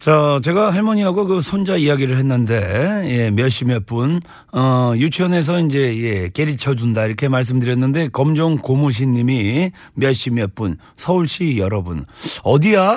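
Very wide pitch swings from a man at a medium pitch and fairly slow pace, on a very clean recording with a silent background. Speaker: radio DJ. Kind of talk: radio show banter. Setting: studio. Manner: animated.

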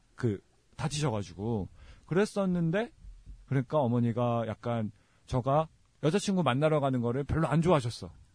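A man's somewhat breathy, medium-pitched voice with lively intonation, moderate pace and long, frequent pauses against a quiet background. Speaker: podcast host. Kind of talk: casual chat.

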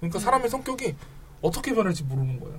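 A man speaks at a very fast pace in a high pitch. His pitch swings very widely. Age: 30s. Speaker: podcast host. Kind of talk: casual chat.

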